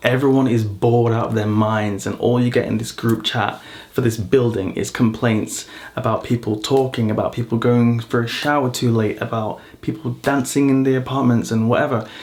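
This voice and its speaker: Noticeable background noise sits behind a man with a British accent. He has a medium pitch and a fairly quick pace. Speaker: vlogger. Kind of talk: casual vlog monologue. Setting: at home in an apartment. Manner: loud; animated.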